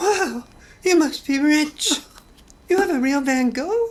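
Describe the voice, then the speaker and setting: This is a put-on character voice, high-pitched and squeaky. It moves at a fairly slow pace. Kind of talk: comic sketch acting. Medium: comedy sketch. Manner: blunt, casual, flippant.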